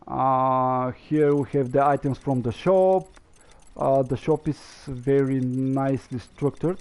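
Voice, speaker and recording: Speaking at a fairly slow pace, a man keeps a medium pitch, fairly even intonation and very even loudness. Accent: non-native. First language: not English. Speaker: gaming streamer. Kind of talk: gameplay commentary. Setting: live stream. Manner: halting, many fillers.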